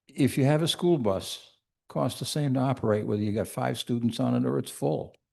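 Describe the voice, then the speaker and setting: A man's dark, mellow, medium-pitched voice at a moderate pace. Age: 80s+. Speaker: resident speaking at town meeting. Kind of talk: public comment at town meeting. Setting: town meeting hall with microphone.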